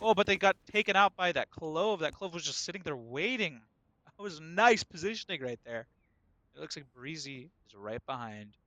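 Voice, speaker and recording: A man with a high pitch and an animated, bright, sharp tone speaks at a moderate pace with very wide pitch swings and big swings in loudness, the sound dry and close with no echo. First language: not English. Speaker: esports caster. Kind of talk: live commentary.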